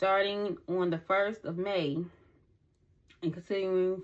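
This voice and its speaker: In an unremarkable speaking voice, a woman talks at a moderate pace and fairly low pitch, with fairly even intonation. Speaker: tarot reader. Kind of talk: tarot reading.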